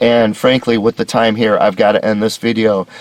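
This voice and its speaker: A man's put-on character voice, raspy and medium-pitched, at a moderate pace in a monotone, flat delivery with a dry, close sound and no echo. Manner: shaky, hurried wrap-up.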